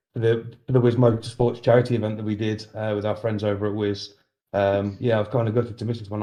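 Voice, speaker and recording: A man in a Birmingham accent, medium pitch, dark, mellow tone, very fast pace and monotone, flat intonation, against a quiet background. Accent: Brummie. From Birmingham, England. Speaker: sim racing sponsor and commentator. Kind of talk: casual chat.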